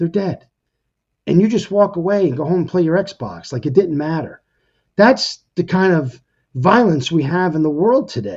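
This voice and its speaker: A man speaks in an animated tone, his high-pitched voice full of lively intonation. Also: moderate pace. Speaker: podcast host, retired firefighter. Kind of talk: casual monologue podcast. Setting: home kitchen table. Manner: stutters, repeats words.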